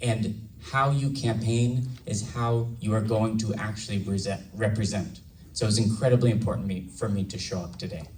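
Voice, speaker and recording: At a moderate pace, a man speaks with fairly even intonation amid audible room echo. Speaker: congressional candidate. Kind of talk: campaign speech.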